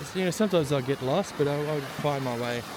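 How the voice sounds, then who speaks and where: Over noticeable background noise, a man talks at a very fast pace in a fairly high voice with ordinary pitch variation. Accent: Australian. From Australia. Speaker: travel vlogger. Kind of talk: casual vlog narration. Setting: outdoors. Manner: casual, hesitant with fillers.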